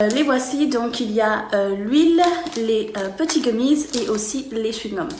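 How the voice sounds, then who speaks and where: Fairly slow speech amid audible room echo and noticeable background noise. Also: woman. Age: 30s. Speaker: customer giving product review. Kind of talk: testimonial product review. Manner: hesitant, many fillers.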